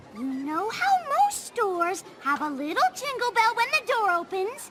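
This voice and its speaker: A female-sounding cartoonish character voice speaks at an extremely high pitch and a moderate pace. Loud background noise runs underneath. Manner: posh, theatrical.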